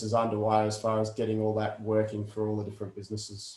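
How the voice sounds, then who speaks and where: A man with an Australian accent, his pitch in the medium range. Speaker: industry association host. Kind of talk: online meeting chat.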